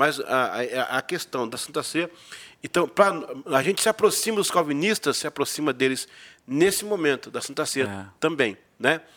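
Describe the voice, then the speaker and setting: A man's fairly high voice, bright and sharp in tone, with lively intonation at a moderate pace. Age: 50s. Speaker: pastor. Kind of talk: casual chat.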